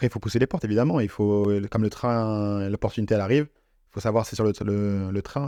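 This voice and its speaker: Over a quiet background, a man with a dark, mellow tone and fairly low pitch talks at a fairly quick pace with fairly even intonation and big swings in loudness, the sound dry and close with no echo. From Nice, France. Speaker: football content creator. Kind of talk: podcast interview. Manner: casual, repetitive hesitations.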